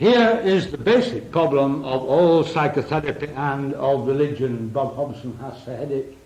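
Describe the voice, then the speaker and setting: A man's fairly high voice at a moderate pace, with lively intonation, big swings in loudness, hardly any pauses and noticeable background noise. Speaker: psychotherapist. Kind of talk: lecture. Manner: drops voice at important points.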